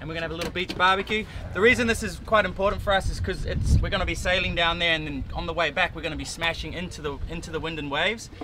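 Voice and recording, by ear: Against clear background noise, a man with a fairly high pitch talks at a fast pace, with few pauses and fairly even intonation.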